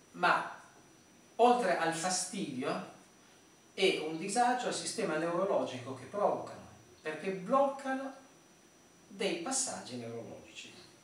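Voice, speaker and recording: A man's high-pitched voice at a fairly slow pace, with long, frequent pauses, big swings in loudness and audible room echo. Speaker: therapist or instructor. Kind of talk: tutorial.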